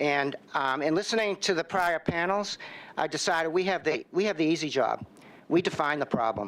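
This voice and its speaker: With a Boston accent, a man speaks at a high pitch. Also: ordinary pitch variation, moderate pace, very even loudness. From Boston, Massachusetts. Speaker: drug research center director. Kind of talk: testimony. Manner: halting, with many fillers.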